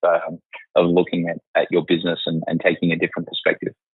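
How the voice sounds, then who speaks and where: In an Australian accent, a man speaks at a fairly quick pace. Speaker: accountant, company finance chief. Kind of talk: casual interview.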